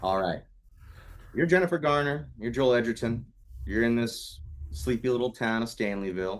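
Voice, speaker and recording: A man speaks at a moderate pace with medium pitch and lively intonation. Music plays in the background. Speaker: podcast co-host. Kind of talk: casual chat. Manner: projects loudly.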